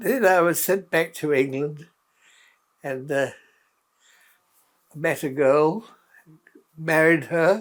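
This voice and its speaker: A man with a New Zealand accent and a fairly high pitch speaks very slowly, with long, frequent pauses and ordinary pitch variation. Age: 80s+. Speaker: war veteran. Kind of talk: interview answer.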